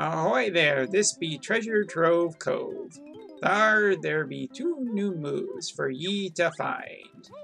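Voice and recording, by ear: A man's high, put-on character voice at a very slow pace, with clear music in the background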